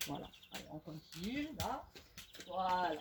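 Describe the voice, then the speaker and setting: Speaking very slowly, a woman's pitch swings very widely. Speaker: fitness instructor. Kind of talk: exercise tutorial.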